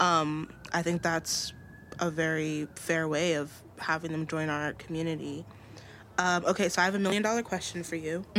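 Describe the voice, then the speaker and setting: Using a normal speaking voice, a woman with an American accent and fairly low pitch talks at a moderate pace with fairly even intonation. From greater New York area. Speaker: podcast host. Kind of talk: casual interview.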